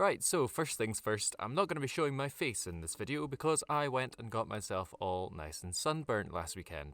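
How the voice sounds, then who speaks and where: On a very clean recording with a silent background, a man with a Scottish accent speaks at medium pitch and a moderate pace, his pitch swinging very widely, with vocal fry and hardly any pauses. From Scotland. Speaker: tabletop gaming YouTuber. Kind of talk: video essay / tutorial.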